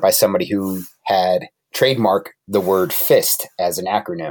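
With an American accent, a man speaks in a plain, everyday voice, fairly low in pitch and at a fairly slow pace. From Connecticut. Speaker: tactical trainer and military veteran. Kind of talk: casual interview.

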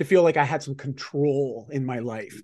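A man with a normal speaking voice talks at a moderate pace in a fairly high pitch against a quiet background. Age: 40s. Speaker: lifestyle business mentor and life coach. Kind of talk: casual interview.

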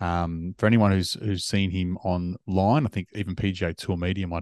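A man's very deep, low voice with an Australian accent, fairly quick and fairly even, against a quiet background. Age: 40s. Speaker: golf podcast host. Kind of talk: casual chat.

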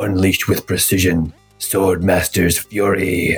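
Over faint music in the background, a man puts on a character voice, raspy and very deep, speaking fairly slowly. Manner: menacing, declarative.

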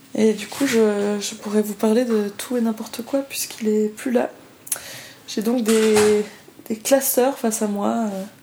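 A woman's fairly high, monotone, flat voice at a very slow pace, with long, frequent pauses and noticeable background noise. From Switzerland, Lausanne. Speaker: professional improv performer. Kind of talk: casual interview.

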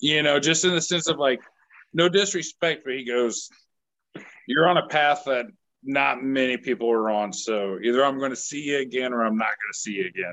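A man with an American accent, a normal speaking voice, medium pitch, and a moderate pace. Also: lively intonation. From Kansas (Manhattan). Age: 30s. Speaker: country singer-songwriter. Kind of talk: casual chat. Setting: video call from outdoors.

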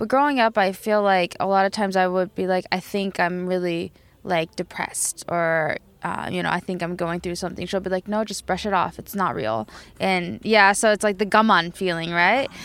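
A woman with an American accent at medium pitch and a moderate pace, with ordinary pitch variation, on a very clean recording with a silent background. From Tokyo, Japan and US. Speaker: band member and DJ. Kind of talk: casual interview chat.

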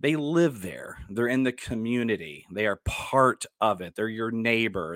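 A man with an American accent, medium pitch and ordinary pitch variation, in a dry, close sound with no echo. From Dallas, Texas. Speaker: podcast host and actor. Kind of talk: casual solo podcast talk.

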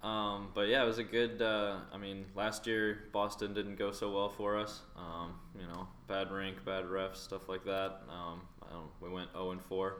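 A man with an American accent, fairly low pitch, monotone, flat intonation and a fairly slow pace, in audible room echo. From North Carolina, US South. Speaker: junior hockey goaltender. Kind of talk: casual interview.

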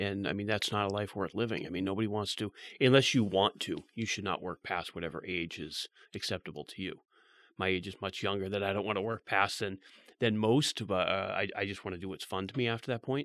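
The man has an unremarkable speaking voice. He talks at a fairly quick pace and a fairly low pitch. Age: 40s. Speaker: real estate team leader. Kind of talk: casual interview.

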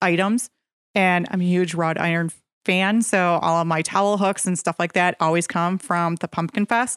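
A woman with an Upper Midwest accent speaks at a fairly low pitch, with fairly even intonation and very even loudness. The recording is very clean with a silent background and a dry, close sound with no echo. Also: moderate pace. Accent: Upper Midwest American. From central Wisconsin. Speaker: real estate agent, radio co-host. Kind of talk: radio talk show. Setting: radio studio.

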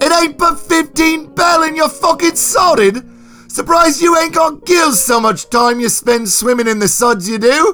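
Shouting in a put-on character voice, a man hits an extremely high pitch with a bright, sharp tone and ordinary pitch variation. His pace is fairly slow, with faint music in the background.

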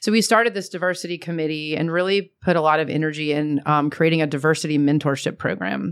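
A woman's very deep, low voice at a very fast pace, with ordinary pitch variation. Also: hardly any pauses. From Atlanta, US South. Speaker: commercial real estate executive. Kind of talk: interview.

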